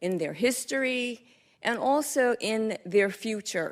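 A woman speaks at a very slow pace with lively intonation, in an American accent. The recording is very clean, with a silent background. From North Carolina, Statesville. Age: 60s. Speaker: retired teacher, public commenter. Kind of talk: public comment speech. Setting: board meeting room. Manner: hesitant with fillers.

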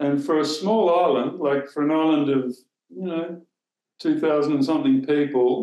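A man with an Australian accent talks at a moderate pace, his voice fairly high, dark and mellow, with lively intonation. The background is quiet, though room echo is audible. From southern Australia. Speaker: former newspaper editor; former newspaper editor, interview guest. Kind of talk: interview. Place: home room. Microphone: video call.

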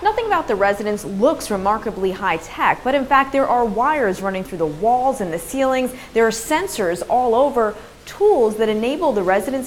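The speech runs at a fairly quick pace with hardly any pauses. Its intonation is lively, and light background noise sits underneath. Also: woman. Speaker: TV reporter. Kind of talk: news report stand-up. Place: hall. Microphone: lapel.

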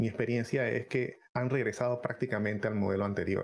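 The man's intonation stays fairly even as he talks. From Panama. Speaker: gaming content creator. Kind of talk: live-streamed podcast chat. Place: home room. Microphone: headset.

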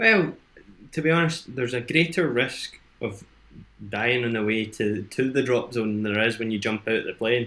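This man talks at a moderate pace. His tone is bright and sharp. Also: medium pitch for a man, ordinary pitch variation. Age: 20s. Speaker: entrepreneur in education and training; interview guest. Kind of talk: casual chat. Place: home room.

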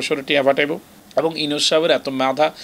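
A man with a Chittagong accent. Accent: Chittagonian Bengali. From Bangladesh. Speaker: commentator. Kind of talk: interview opinion. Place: office.

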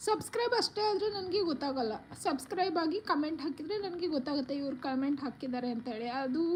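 Against noticeable background noise, a woman speaks with a high voice and lively intonation. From Karnataka. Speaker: vlogger. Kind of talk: live stream chat.

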